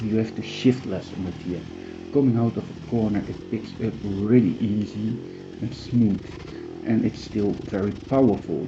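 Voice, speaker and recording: Amid audible room echo, a man with a medium pitch talks at a fairly slow pace with fairly even intonation. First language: not English. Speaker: amateur motocross racer reviewing bikes. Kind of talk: product review. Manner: halting.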